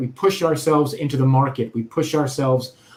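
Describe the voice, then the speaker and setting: A man is talking. There's a somewhat breathy quality to his voice. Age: 40s. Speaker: author and UX consultant. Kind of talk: interview.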